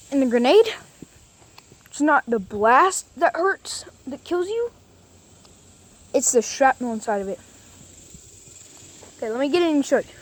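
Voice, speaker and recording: Her voice is high-pitched, with very wide pitch swings. The woman keeps a moderate pace over noticeable background noise. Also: long, frequent pauses. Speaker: YouTuber. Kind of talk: tutorial. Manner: casual.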